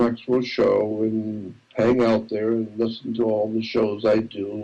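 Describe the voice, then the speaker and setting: At a fairly slow pace, a man talks with a medium pitch and a dark, mellow tone. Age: 70s. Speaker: conspiracy researcher. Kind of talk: interview.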